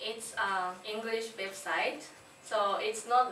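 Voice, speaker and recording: A woman at a very slow pace, ordinary pitch variation, audible room echo and noticeable background noise. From Japan. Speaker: English language student. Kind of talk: class presentation. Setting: classroom. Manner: halting.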